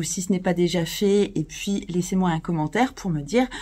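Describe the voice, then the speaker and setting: A woman speaks in a somewhat breathy voice. Her pitch shows ordinary variation. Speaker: astrologer. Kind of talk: video presentation. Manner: hesitant with fillers.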